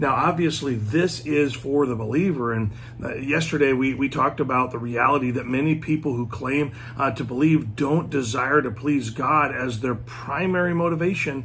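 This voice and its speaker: Moderate pace and ordinary pitch variation over light background noise. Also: man. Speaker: speaker. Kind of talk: devotional talk. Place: home room. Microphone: phone near.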